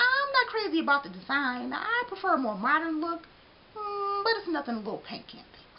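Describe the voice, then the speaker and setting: A woman speaks in a put-on character voice with an extremely high pitch and very wide pitch swings. Her tone is animated and her pace fairly quick. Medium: read story. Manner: animated, expressive.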